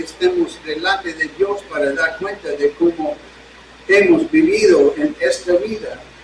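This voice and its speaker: There's noticeable background noise in this clip. Beneath it, a man speaks at a fairly slow pace. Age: 70s. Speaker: pastor. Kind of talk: sermon. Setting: church service streamed online.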